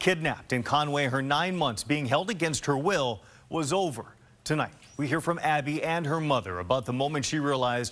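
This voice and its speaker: A normal speaking voice from a man, fairly high in pitch with ordinary variation, at a fairly quick pace. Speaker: TV news reporter and anchor. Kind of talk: news anchor read in studio.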